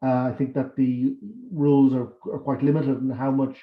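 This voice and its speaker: Speaking at a fairly quick pace, a man with a Dublin accent has a fairly high pitch. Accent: Irish, Dublin. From Ireland, Dublin. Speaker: academic and election candidate. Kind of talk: campaign speech.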